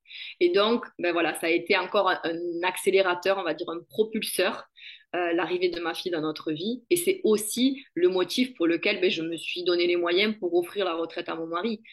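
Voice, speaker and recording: A woman's fairly low voice in a southern French accent, fairly even in intonation, at a moderate pace. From southern France, Béziers-Narbonne area. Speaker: network marketing entrepreneur. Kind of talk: interview.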